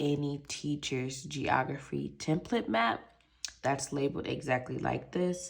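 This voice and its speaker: A woman speaks with a very deep, low pitch and vocal fry. Her intonation is lively. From Michigan, US Midwest. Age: 20s. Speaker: budgeting YouTuber. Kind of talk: casual product overview vlog. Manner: animated.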